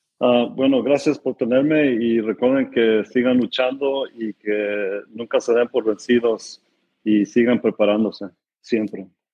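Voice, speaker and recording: This man speaks at a fairly slow pace and a medium pitch. His intonation stays fairly even. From California, US. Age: 30s. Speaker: non-profit director. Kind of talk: interview testimony. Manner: halting, many repetitions and fillers.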